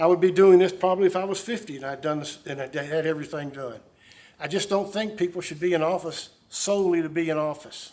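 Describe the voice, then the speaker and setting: Talking at a very fast pace, a man with a high pitch shows big swings in loudness. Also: ordinary pitch variation. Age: 70s. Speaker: mayor. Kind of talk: press conference Q&A. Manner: halting.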